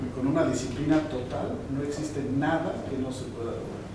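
Speech moves at a moderate pace. Audible room echo and noticeable background noise fill the recording. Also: man. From Mexico City, Mexico. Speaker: corporate quality executive. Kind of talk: interview answer. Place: meeting room.

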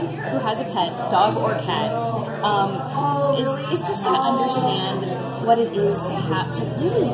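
A woman talks with music in the background. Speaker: interviewee. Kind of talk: interview answer. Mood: friendly, amused. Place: cafe.

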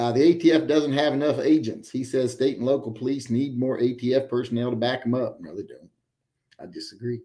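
A man's dark, mellow voice at a moderate pace, with big swings in loudness over a quiet background. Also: ordinary pitch variation. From West Virginia. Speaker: livestream host, military veteran; livestream host. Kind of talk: casual live-chat monologue. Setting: live stream. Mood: relaxed, opinionated. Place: home room.

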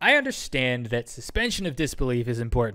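A man's medium-pitched, bright, sharp voice at a moderate pace with very wide pitch swings, on a very clean recording with a silent background. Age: 30s. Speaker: YouTuber, commentary video. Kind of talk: commentary rant. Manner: animated.

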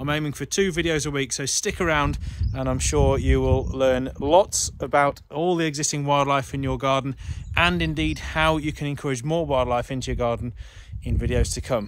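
With light background noise and a dry sound that has no echo, a man talks at a moderate pace. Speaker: presenter. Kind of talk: casual vlog chat. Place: open country. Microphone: phone near.

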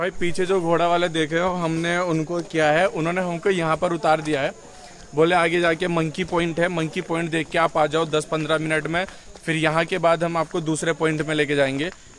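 Light background noise runs under a man's voice. His pitch is high and his intonation monotone and flat. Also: moderate pace. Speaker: travel vlogger. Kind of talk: casual vlog chat. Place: forest. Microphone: phone near.

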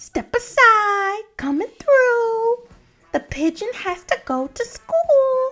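A squeaky put-on character voice from a woman, extremely high in pitch and very slow, over faint music in the background. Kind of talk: read-aloud character voice. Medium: read story. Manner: whiny, dramatic, worrying.

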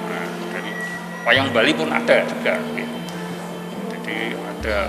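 Over loud background music, a man delivers his words fairly slowly. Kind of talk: interview answer. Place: hall.

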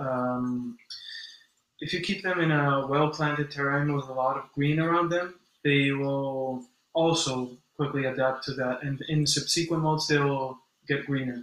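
With audible room echo, a man at a fairly high pitch talks at a fairly slow pace and with fairly even intonation. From mixed: born in US to Brazilian parents, long in Spain. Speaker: insect keeper and animal content creator; animal content creator. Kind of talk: casual live stream chat. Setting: live stream from home at midnight. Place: home room. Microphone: video call.

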